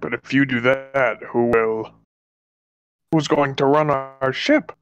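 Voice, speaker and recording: A man's put-on character voice at medium pitch, delivered at a fairly slow pace. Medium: actual play. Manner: grandiose, slightly pompous.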